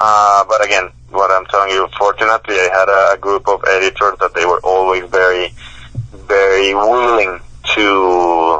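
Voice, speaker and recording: In a Spanish accent, a man speaks at a fairly low pitch and a moderate pace, monotone and flat, with very even loudness. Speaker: professor and author. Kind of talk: interview. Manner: halting, many repetitions and fillers.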